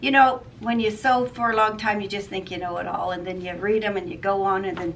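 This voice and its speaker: A woman with a fairly high pitch talks at a very fast pace, with audible room echo and noticeable background noise. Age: 60s. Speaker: sewing vlogger. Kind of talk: casual product review. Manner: casual, hesitant with fillers.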